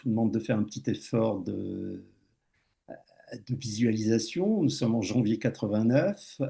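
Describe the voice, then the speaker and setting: The man's tone is dark and mellow. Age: 60s. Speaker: speaker sharing a personal life experience. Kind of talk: public talk with personal testimony. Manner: halting, with many hesitations and repetitions.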